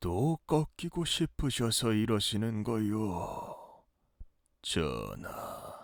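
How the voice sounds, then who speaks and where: The speaker uses a put-on character voice. The delivery comes at a very slow pace. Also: man, medium pitch for a man. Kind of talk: historical court speech. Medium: audio drama. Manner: deferential, smooth.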